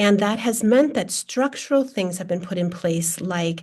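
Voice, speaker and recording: Somewhat breathy, a woman talks with an American accent at a medium pitch with ordinary pitch variation. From US Midwest, Minnesota. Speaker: data science researcher, sociologist. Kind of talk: panel discussion.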